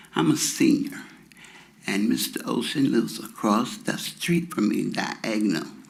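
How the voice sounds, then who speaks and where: Noticeable background noise and audible room echo around fairly slow speech. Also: man. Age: 70s. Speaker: resident speaking at public hearing. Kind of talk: public comment. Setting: city council chamber.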